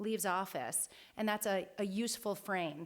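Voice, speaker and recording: Heard here is a woman at medium pitch with an American accent. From New York. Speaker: lecturer, political scientist. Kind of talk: lecture. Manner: loud.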